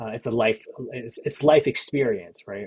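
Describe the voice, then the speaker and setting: A man's medium-pitched voice shows ordinary pitch variation and moves at a moderate pace. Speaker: digital artist and creative entrepreneur vlogger. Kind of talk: casual vlog update. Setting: hotel room. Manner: relaxed, rambling with many fillers.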